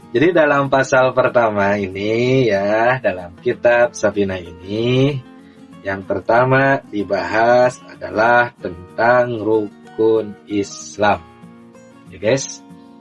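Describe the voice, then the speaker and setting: Music plays behind a man speaking at a very slow pace. His pitch is medium, with ordinary pitch variation. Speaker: religious teacher. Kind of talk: religious lesson to camera. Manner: slow, explanatory.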